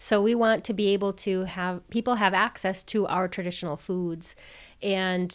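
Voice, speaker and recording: A woman with an American accent has an unremarkable speaking voice at medium pitch. Her intonation is fairly even, and the recording is very clean with a silent background. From Wisconsin, Oneida Reservation. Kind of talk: interview.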